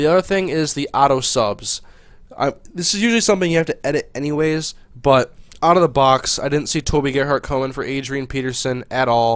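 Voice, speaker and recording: Over a quiet background, a man talks at a fairly quick pace and a fairly high pitch, with ordinary pitch variation. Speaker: gaming video commentator. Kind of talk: gameplay commentary. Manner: fast.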